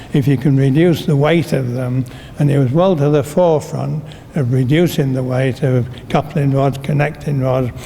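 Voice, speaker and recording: A man's fairly high voice, fairly even in intonation and very even in loudness, over noticeable background noise. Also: moderate pace. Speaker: retired railway shedmaster. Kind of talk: interview answer.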